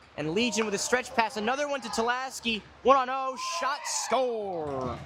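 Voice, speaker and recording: This man talks in a raised, projected voice at an extremely high pitch, with ordinary pitch variation. His pace is moderate, and there is noticeable background noise. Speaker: hockey play-by-play commentator. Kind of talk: live commentary. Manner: loud.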